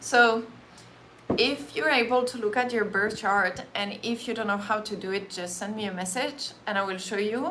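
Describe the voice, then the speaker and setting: Speaking with a French accent, a woman uses a fairly high pitch with ordinary pitch variation at a moderate pace. Audible room echo surrounds the recording. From France. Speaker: Reiki practitioner and meditation teacher. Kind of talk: casual live-stream talk before a guided meditation. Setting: live stream.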